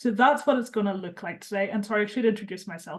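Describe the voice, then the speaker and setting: This woman's somewhat breathy voice sits at medium pitch with ordinary pitch variation. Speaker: charity campaigns and policy lead, webinar host. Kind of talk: webinar introduction.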